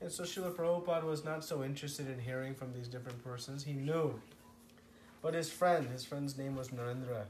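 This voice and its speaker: Audible room echo surrounds a man speaking at a fairly quick pace, his fairly high pitch moving with ordinary variation. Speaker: spiritual teacher. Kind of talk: lecture.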